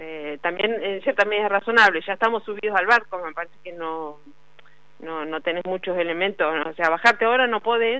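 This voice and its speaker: Speaking at a medium pitch with ordinary pitch variation, a woman has a plain, everyday voice. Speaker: journalist covering labor politics. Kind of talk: radio interview segment.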